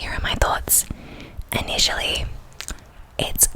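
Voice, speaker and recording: A woman whispers. Noticeable background noise runs beneath her. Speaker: ASMR creator. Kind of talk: fragrance review, ASMR-style rambling.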